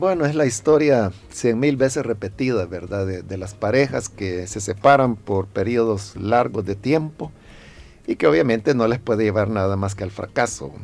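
In an unremarkable speaking voice, a man delivers his words with lively intonation at a moderate pace. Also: fairly low pitch for a man. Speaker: pastor. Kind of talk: radio interview giving pastoral advice. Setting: radio studio.

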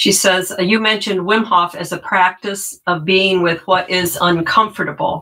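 A woman with a plain, everyday voice speaks at a medium pitch and a fairly slow pace. Her pitch varies in an ordinary way. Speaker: moderator reading questions. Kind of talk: reading out audience questions.

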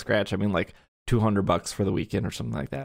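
Pitch varies in an ordinary way in this voice, with an American accent. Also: man. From Wisconsin. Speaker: podcast host. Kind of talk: casual chat. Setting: remote call recording.

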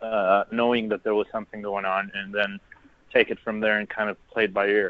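A man with an American accent, an ordinary speaking voice, medium pitch and fairly even intonation. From Texas, The Woodlands. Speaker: guest traveler in Paris. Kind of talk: interview. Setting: phone or video call from Paris.

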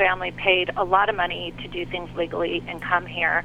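Noticeable background noise sits under a woman's voice. She speaks at a moderate pace with a flat, monotone intonation. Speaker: caller. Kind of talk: call-in debate. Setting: phone call.

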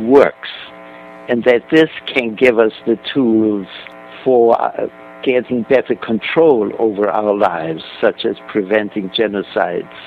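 A man talks at a fairly slow pace and a medium pitch with ordinary pitch variation. There is noticeable background noise. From Germany. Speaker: author. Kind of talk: interview.

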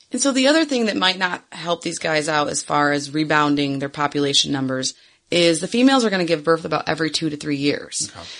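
With a Michigan accent, a woman talks at a very fast pace in a very deep, low pitch with lively intonation. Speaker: podcast co-host, former zoo worker. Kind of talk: casual chat.

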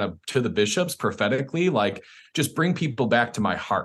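A man with an American accent and an unremarkable speaking voice, his intonation lively. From Chicago suburbs, US Midwest. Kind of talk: interview.

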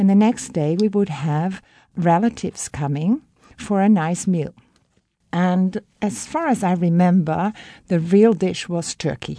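A woman with a Dutch accent speaks at a fairly slow pace and medium pitch, her tone dark and mellow. Her pitch varies in an ordinary way over a quiet background. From Netherlands. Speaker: guest from the Netherlands. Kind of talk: interview, childhood memories.

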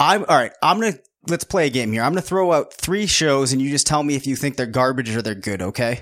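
A strained, fairly high-pitched male voice with lively intonation and a very fast pace, on a very clean recording with a silent background. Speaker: fantasy football analyst and podcast host. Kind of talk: casual sports podcast chat. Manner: fast-talking tendency, restrained on podcast.

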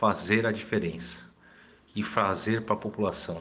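This man's pitch is fairly low. His pace stays moderate. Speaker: mayoral candidate, physician. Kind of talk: campaign statement.

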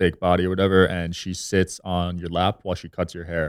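Speaking at a moderate pace with an American accent, a man has a very deep, low pitch in a dry, close sound with no echo. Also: very clean recording, silent background. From New Jersey. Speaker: podcast host and entrepreneur. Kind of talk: casual chat.

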